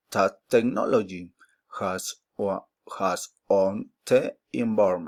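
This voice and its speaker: A man speaks at a very slow pace with a Spanish accent, his voice dry and close with no echo. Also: very clean recording, silent background. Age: 20s. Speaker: mathematics student. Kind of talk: oral class presentation. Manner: halting.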